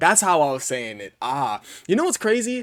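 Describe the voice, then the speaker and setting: A man talks in an animated tone with very wide pitch swings. The sound is dry and close, with no echo. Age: young. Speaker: gaming video creator. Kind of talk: casual commentary. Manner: fast.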